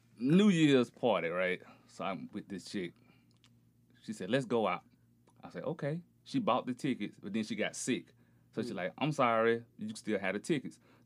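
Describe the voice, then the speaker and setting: Speaking with an American accent at a moderate pace, a man uses a medium pitch and lively intonation, with long, frequent pauses on a very clean recording with a silent background. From rural Alabama, US South. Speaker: podcast guest. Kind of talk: casual chat.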